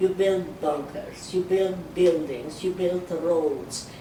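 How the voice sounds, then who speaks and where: With noticeable background noise behind them, the speaker talks at a very slow pace. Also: woman. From Czechoslovakia. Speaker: Holocaust survivor. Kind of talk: oral history interview answer.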